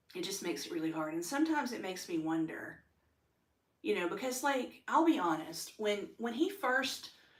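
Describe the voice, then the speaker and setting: A woman speaks at a moderate pace in an animated tone, her pitch swinging very widely. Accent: American. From United States. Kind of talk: personal testimony monologue. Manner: loud when excited; animated, many fillers.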